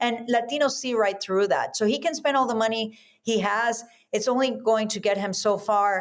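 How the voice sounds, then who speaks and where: Speaking in a Spanish accent, a woman uses a fairly high pitch with ordinary pitch variation at a moderate pace. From South America. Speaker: Senate candidate. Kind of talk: interview.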